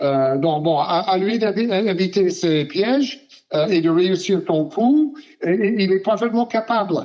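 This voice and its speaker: A man speaks at a very slow pace in a high pitch. His intonation is lively and his loudness very even. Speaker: sports journalist. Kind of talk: interview answer. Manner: hesitant, many filler sounds.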